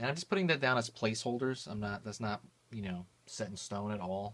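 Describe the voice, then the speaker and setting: A man at a fairly low pitch, fairly quick in pace, with fairly even intonation. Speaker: art tutorial youtuber. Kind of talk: tutorial. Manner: casual, hesitant with fillers.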